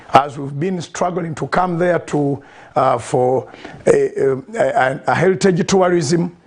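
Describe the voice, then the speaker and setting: Over noticeable background noise, a man with a high voice speaks at a very slow pace with ordinary pitch variation. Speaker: pastor. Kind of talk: online interview.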